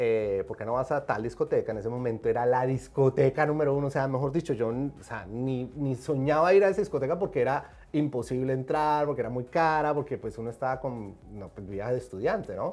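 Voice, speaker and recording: This man has a Colombian accent and a medium pitch, with ordinary pitch variation. He talks at a fairly quick pace with hardly any pauses. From Colombia, Medellín. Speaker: film and TV director and producer. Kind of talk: interview. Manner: animated.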